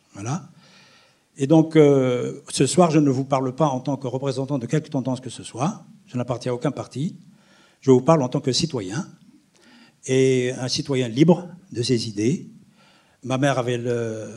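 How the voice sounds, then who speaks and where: A dark, mellow tone at a fairly slow pace, broken by long, frequent pauses. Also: man, medium pitch for a man, ordinary pitch variation. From Algeria, near Algiers. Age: 70s. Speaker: historian. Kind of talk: testimony. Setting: stage with audience.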